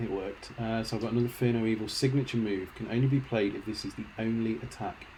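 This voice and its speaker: Intonation stays fairly even as a man speaks in a normal speaking voice. He talks fairly quickly at a medium pitch. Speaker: video game streamer. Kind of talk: live gameplay commentary. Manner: casual, chatty.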